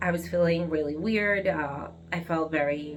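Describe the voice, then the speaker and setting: Audible room echo surrounds a woman speaking with an Argentine accent. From Argentina, Buenos Aires. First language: Spanish. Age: 30s. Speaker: vlogger. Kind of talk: personal vlog monologue. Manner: halting, with fillers and restarts.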